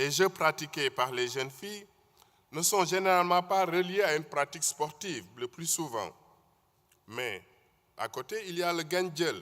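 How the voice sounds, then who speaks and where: In a Senegalese accent, a man speaks slowly-ish with long, frequent pauses, in a high, bright, sharp voice with ordinary pitch variation. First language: Wolof (speaking French). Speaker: conference speaker. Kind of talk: conference talk.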